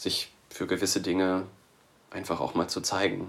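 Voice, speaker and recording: A man's very deep, low voice comes through at a moderate pace. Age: 20s. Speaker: scout volunteer. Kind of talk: podcast interview. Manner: hesitant, many fillers.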